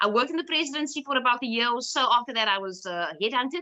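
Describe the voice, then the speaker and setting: Bright and sharp in tone, a woman with a Cape Town accent talks very fast with lively intonation. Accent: Cape Town South African English. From South Africa, Cape Town (Cape Flats, Bellville). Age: 30s. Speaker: lawyer and activist. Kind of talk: personal talk. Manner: halting, many fillers.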